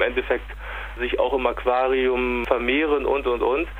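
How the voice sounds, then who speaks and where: A man talks very slowly while noticeable noise runs in the background. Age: 40s. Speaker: aquarium products distributor. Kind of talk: interview. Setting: phone call. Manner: hesitant, frequent fillers and repetitions.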